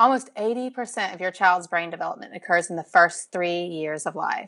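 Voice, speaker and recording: This woman speaks with a Southern US accent. Her pitch sits in the medium range. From Alabama, US South. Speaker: parenting researcher and social media educator. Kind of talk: casual interview chat.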